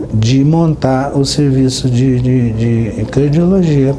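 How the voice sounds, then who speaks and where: Noticeable background noise sits behind a man speaking at a fairly high pitch with ordinary pitch variation. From Minas Gerais, Brazil. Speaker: cardiologist. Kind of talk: interview answer.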